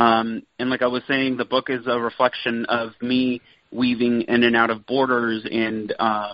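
Moderate pace with an American accent. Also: man. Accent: Californian Mexican American English. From Southern California (Santa Ana, Orange County). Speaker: cookbook author. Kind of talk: interview.

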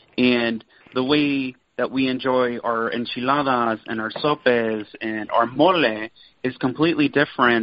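With an American accent, a man speaks at a moderate pace and medium pitch, his intonation fairly even. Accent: Californian Mexican American English. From Southern California (Santa Ana, Orange County). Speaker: cookbook author. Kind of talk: interview.

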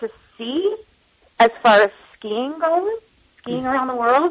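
The speaker is a woman with an American accent. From Long Island, New York. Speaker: cookbook author and lifestyle blogger. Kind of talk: interview.

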